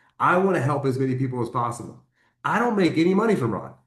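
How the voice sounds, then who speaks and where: Lively intonation and an animated tone mark this man's fairly high-pitched delivery at a fairly quick pace. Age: 50s. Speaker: network marketing team leader. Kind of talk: motivational training call. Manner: fast.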